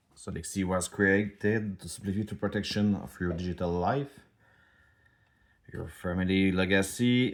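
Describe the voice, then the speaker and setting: A man with a French accent, very deep and low in pitch, fairly even in intonation, at a moderate pace on a very clean recording with a silent background. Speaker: startup founder. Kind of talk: product demo. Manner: halting.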